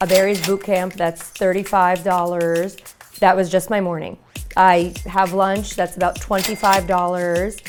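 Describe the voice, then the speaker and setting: Fairly slow speech in a Brooklyn accent over background music. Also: woman. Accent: New York (Brooklyn). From New York City (Brooklyn, Bensonhurst). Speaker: lifestyle vlogger. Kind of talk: reality show confessional. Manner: animated.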